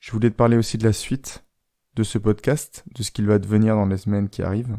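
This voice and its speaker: A soft-spoken man with a fairly low pitch and a dark, mellow tone, talking at a fairly quick pace in a monotone, flat intonation, with a dry, close sound with no echo and a very clean recording with a silent background. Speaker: life coach, podcaster. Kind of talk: podcast monologue. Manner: soft, intimate.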